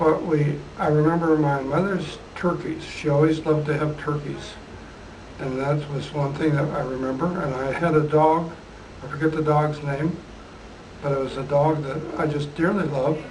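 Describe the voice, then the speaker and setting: With an Upper Midwest accent, a man speaks at a moderate pace in a fairly high, monotone, flat voice, with noticeable background noise and audible room echo. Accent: Upper Midwest American. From southern Minnesota. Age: 80s+. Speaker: retired geophysicist. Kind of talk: oral history interview.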